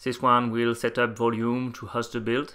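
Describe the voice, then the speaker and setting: A man with a French accent and a bright, sharp tone is heard in a very clean recording with a silent background. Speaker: software developer. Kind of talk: technical presentation.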